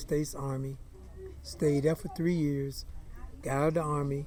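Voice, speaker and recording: A man with an American accent speaks at a moderate pace in a fairly high, flat monotone. The room echoes audibly and there is noticeable background noise. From eastern North Carolina, Greenville. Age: 60s. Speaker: minister and former baseball player, oral history interviewee. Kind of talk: oral history interview.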